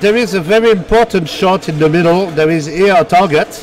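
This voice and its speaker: With a French accent, a man speaks at a moderate pace in a high pitch with ordinary variation, over noticeable background noise. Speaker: pinball commentator. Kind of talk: live commentary. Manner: halting.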